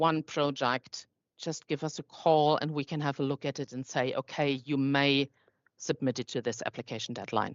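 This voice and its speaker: At a moderate pace, a woman with a non-native accent speaks in a very deep, low voice with monotone, flat intonation. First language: not English. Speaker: foundation staff presenting funding program. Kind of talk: online info session Q&A. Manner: halting.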